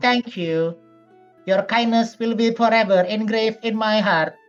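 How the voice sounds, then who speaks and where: Over faint music in the background, a female-sounding put-on character voice, fairly high in pitch, speaks at a moderate pace. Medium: actual play.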